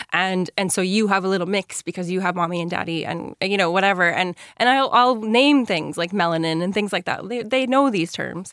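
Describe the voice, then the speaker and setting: A woman's normal speaking voice with an American accent, medium in pitch, with ordinary pitch variation, a fairly quick pace and hardly any pauses. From New York (Yonkers), US. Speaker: author and secondary school teacher. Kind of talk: radio interview.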